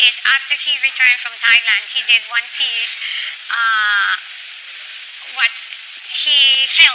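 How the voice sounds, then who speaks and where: The speech has long, frequent pauses over light background noise. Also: woman. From Colombia. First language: Spanish. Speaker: ambassador's spouse and art collector. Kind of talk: interview; interview answer. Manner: halting. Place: hall. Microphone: lapel.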